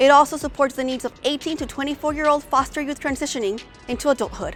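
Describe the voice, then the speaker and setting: With music playing in the background, a woman talks at a very fast pace. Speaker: show host, radio personality. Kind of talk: event host narration, scripted introductions.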